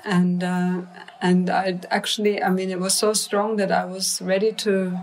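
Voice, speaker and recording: Noticeable background noise sits behind a woman's voice. She speaks at a fairly slow pace in a monotone, flat intonation. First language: non-English. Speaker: mantra musician. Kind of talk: interview conversation. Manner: halting.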